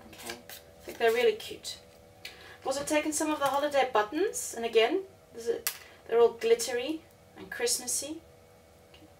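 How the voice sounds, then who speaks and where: Over noticeable background noise, a woman in a South African accent talks at a fairly quick pace and a high pitch, her intonation lively, her loudness swinging widely and her pauses long and frequent. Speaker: crafter. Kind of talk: tutorial. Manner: hesitant, with many fillers.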